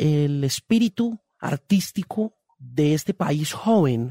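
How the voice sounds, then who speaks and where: The voice has a dark, mellow tone, captured on a very clean recording with a silent background and a dry, close sound with no echo. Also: man. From Colombia, raised partly in Miami area from adolescence. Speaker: music journalist and author. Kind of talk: interview conversation.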